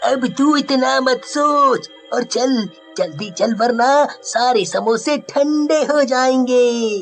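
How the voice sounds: A man does a cartoonish character voice, pitched extremely high, at a very slow pace. Clear music plays in the background.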